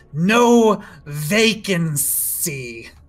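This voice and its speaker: A put-on character voice at a middle pitch comes with audible hissing. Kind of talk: basic, curt. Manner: dismissive.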